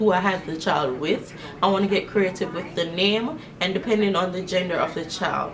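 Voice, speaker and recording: The voice has an animated tone and ordinary pitch variation at a moderate pace, with audible room echo and noticeable background noise. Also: woman, medium pitch for a woman. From Jamaica. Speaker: beauty vlogger. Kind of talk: casual chat. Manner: casual, animated.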